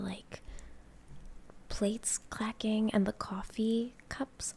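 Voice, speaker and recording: A soft-spoken woman whispering, somewhat breathy. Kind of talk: casual talk to camera. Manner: soft-spoken, whispered.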